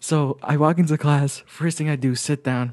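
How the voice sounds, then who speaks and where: At a fairly quick pace, a man with an American accent and a dark, mellow tone talks with ordinary pitch variation against a quiet background. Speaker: podcast co-host. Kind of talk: casual chat. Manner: fast talker.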